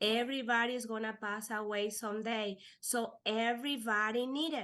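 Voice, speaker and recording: A woman is speaking. Her pace is fairly slow. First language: Spanish. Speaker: life insurance agent. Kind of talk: podcast interview. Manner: halting.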